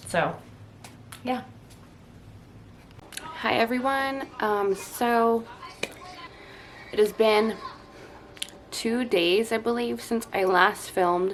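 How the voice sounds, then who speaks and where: Her pitch is fairly high, and she varies it in an ordinary way. This woman speaks at a very slow pace. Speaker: stay-at-home mom vlogger. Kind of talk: casual vlog update. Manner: hesitant, many fillers.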